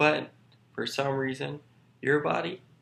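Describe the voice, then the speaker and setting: The speaker is a man with a medium pitch. Vocal fry runs through his voice. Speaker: vlogger. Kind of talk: casual vlog explanation. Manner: halting, repeats words.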